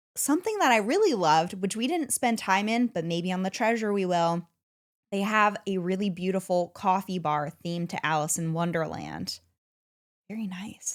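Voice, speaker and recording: The recording is very clean with a silent background. A woman talks at a moderate pace in a medium pitch. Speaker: podcast co-host. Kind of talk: casual chat. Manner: loud.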